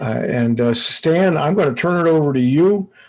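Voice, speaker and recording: Over a quiet background, a man with a fairly high pitch talks at a fairly slow pace, his pitch swinging very widely. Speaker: computer club presenter. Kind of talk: online meeting presentation. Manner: loud; hesitant, many fillers.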